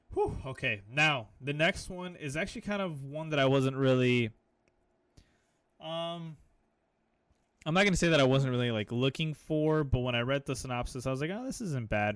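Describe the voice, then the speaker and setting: A man's fairly high, animated voice with ordinary pitch variation, at a moderate pace with long, frequent pauses. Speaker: anime podcast co-host. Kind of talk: casual chat.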